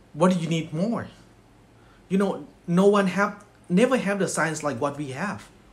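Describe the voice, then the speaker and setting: Speaking in a Thai accent, a man with a high pitch uses lively intonation at a moderate pace, with long, frequent pauses. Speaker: network marketing distributor. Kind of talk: motivational speech. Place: home room. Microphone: phone near.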